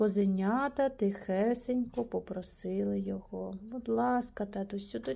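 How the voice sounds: The voice is a natural reading voice.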